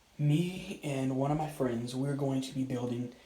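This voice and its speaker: Against noticeable background noise and audible room echo, a man speaks at a moderate pace with a medium pitch and fairly even intonation. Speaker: hobby YouTuber. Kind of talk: casual vlog. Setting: outdoors. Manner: whispering; halting.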